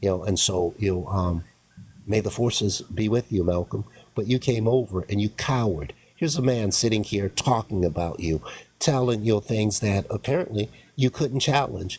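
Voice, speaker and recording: His intonation rises and falls in a lively way. The man's voice carries a somewhat breathy quality. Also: moderate pace. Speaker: online commentator. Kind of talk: heated debate. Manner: halting.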